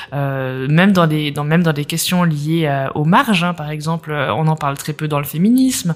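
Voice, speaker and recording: Moderately paced speech with ordinary pitch variation over noticeable background noise. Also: woman. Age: 30s. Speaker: entrepreneur and accessibility coach. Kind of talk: interview.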